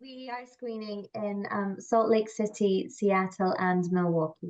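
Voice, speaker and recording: A Scottish accent with big swings in loudness. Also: woman, medium pitch for a woman, ordinary pitch variation, fairly slow pace. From Scotland. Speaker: film producer. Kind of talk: panel discussion.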